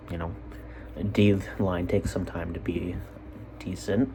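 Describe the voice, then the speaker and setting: At a fairly slow pace, a man with an American accent talks in an animated tone. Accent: drops T sounds. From Utah. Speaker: sports podcaster. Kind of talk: casual solo sports commentary. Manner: animated, rambling asides.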